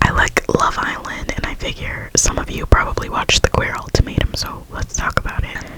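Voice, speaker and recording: Someone whispers at a fairly quick pace with hardly any pauses, and background noise is noticeable. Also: woman. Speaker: ASMR creator. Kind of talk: casual whispered ramble about a reality show. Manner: whispered, chatty.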